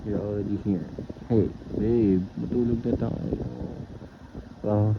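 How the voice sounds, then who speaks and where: The speech moves at a very slow pace with ordinary pitch variation. Noticeable background noise runs underneath. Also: man, fairly low pitch for a man. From Philippines. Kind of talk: boyfriend roleplay audio. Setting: fan noise in background. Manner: nervous, casual, affectionate.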